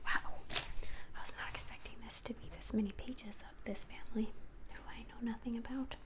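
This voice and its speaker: The speaker is whispering. The pace is moderate. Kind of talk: soft-spoken ASMR reading a magazine aloud to camera. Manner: soft-spoken, rambling.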